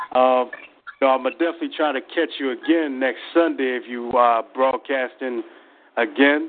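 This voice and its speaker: A man with an unremarkable speaking voice talks at medium pitch and a moderate pace, his intonation fairly even but his loudness swinging widely. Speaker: spoken word poet. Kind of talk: spoken word poetry performance.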